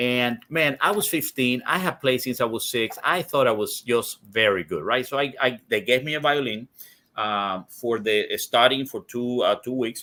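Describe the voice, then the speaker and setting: The speaker has a Spanish accent and talks at a fairly slow pace with ordinary pitch variation. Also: man. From Cuba. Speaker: cigar industry executive. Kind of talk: interview conversation. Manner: halting, many repetitions.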